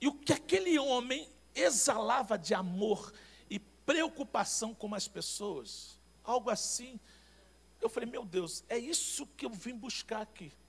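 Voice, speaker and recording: Here a man talks fairly slowly at an extremely high pitch. His intonation is lively. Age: 50s. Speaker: pastor. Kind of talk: sermon.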